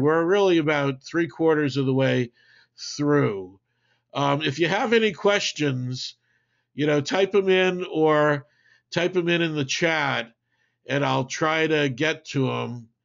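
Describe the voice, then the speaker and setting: With lively intonation, a man in an American accent speaks at a fairly high pitch and a fairly slow pace. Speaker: marketing webinar presenter. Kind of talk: webinar presentation with Q&A. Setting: online webinar. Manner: casual, halting with many fillers.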